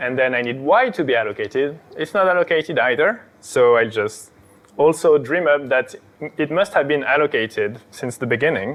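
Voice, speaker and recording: Pitched fairly high, a man talks at a moderate pace with lively intonation in an ordinary speaking voice. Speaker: software engineer giving a lecture. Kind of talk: lecture.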